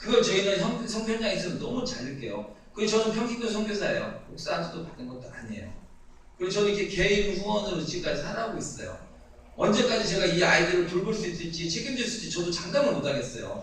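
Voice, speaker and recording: Through noticeable background noise and audible room echo, a man talks very fast in a high voice with ordinary pitch variation. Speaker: lay missionary. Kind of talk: mission report talk in church.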